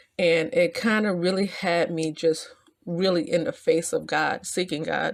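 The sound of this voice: Slow pace, ordinary pitch variation and vocal fry. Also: woman.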